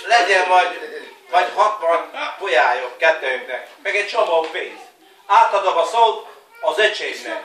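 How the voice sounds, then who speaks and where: A man with a high pitch speaks fairly slowly, using lively intonation and long, frequent pauses. Room echo is audible, and background noise is noticeable. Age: 40s. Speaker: family member giving greetings. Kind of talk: New Year greeting video, casual. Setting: home video recorded by family. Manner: halting, repetitive.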